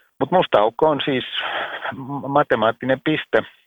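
A man talks at a fairly slow pace. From Finland. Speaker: science writer and journalist. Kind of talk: interview. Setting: phone call.

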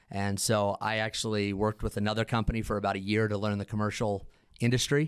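A normal speaking voice is heard. It keeps a moderate pace. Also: man. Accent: American. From eastern Idaho (Idaho Falls). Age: 40s. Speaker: security company CEO and founder. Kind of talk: casual chat. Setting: on site at company headquarters.

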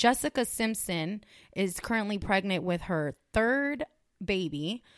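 This woman has a normal speaking voice at a medium pitch, with an American accent and lively intonation. The recording is very clean, with a silent background and a dry, close sound with no echo. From California. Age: 30s. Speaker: podcast co-host. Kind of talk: casual chat.

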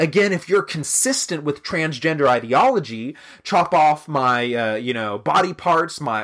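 In a very clean recording with a silent background, a man with a normal speaking voice talks at a moderate pace. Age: 20s. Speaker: podcast host. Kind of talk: solo commentary.

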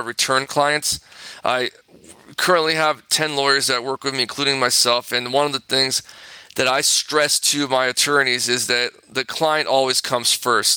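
Speaking at a moderate pace in a Californian accent, a man with a fairly high pitch and a bright, sharp tone keeps a monotone, flat intonation, the sound dry and close with no echo. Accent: Californian American English. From Southern California. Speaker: personal injury attorney. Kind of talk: interview. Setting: remote interview from office.

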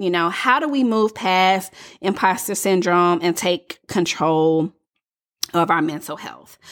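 The recording is very clean, with a silent background. A woman with a Southern US accent speaks at a medium pitch and a fairly slow pace. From US South. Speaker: coach and podcast host. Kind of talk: solo podcast monologue.

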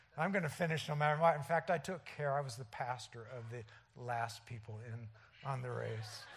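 A somewhat breathy man at medium pitch, fairly quick in pace, with ordinary pitch variation, big swings in loudness and audible room echo. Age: 60s. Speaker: lay preacher. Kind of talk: sermon. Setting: church.

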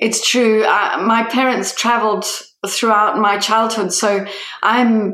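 Fairly high-pitched female speech against noticeable background noise. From Italian family, raised outside Italy. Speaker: human development specialist. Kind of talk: interview conversation. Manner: animated, voice rises when excited.

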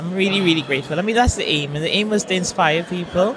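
Noticeable background noise and audible room echo fill the space. Through them, a woman speaks with ordinary pitch variation. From Trinidad. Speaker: recreational runner. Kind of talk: casual interview. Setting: live event stand. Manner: energetic.

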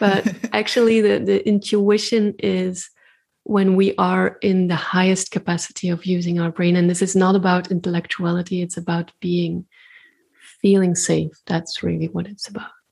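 Somewhat breathy woman's voice at a medium pitch, moderate pace and fairly even intonation, on a very clean recording with a silent background. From Belgium. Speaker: intuitive artist and spiritual practitioner. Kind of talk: casual interview conversation.

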